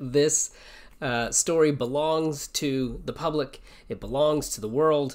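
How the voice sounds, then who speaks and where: Against a quiet background, a man with a fairly high pitch speaks very slowly with fairly even intonation. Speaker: English teacher. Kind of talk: casual livestream chat before reading aloud. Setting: live stream. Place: home room. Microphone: webcam.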